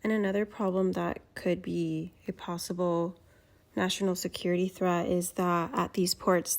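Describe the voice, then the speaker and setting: A woman speaks at a medium pitch in a monotone, flat intonation. The recording is very clean, with a silent background. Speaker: student. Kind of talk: class presentation. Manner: slow.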